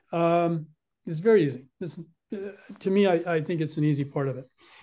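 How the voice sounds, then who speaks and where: Here a man speaks at a high pitch. His pace is moderate, and his pitch variation is ordinary. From Texas. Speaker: orthopedic surgeon. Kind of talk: lecture. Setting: video call. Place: home room. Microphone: webcam.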